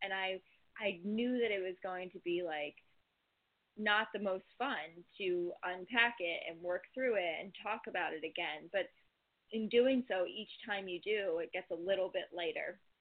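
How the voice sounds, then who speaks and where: A woman talks at a fairly slow pace with ordinary pitch variation. She has an unremarkable speaking voice. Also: medium pitch for a woman. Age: 20s. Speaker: yoga teacher and entrepreneur. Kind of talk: casual chat.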